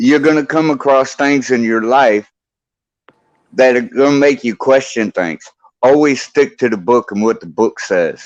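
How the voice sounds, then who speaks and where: With lively intonation, a man speaks at a fairly slow pace in an unremarkable speaking voice. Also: medium pitch for a man. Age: 60s. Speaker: bible teacher in live stream chat. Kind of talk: casual chat.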